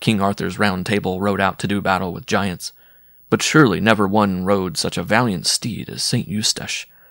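Fairly even intonation runs through it. Here we have a natural reading voice.

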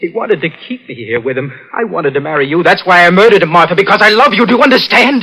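Doing a put-on character voice, a man talks fast in a high pitch, his bright, sharp tone showing lively intonation and a slightly husky edge.

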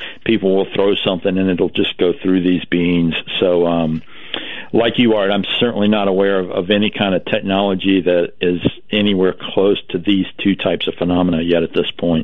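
The voice has little pitch movement and keeps a moderate pace. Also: man, low pitch for a man.

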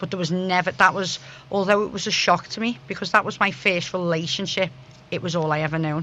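With a bright, sharp tone, a woman talks at a fairly quick pace and keeps her intonation fairly even. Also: fairly low pitch for a woman.

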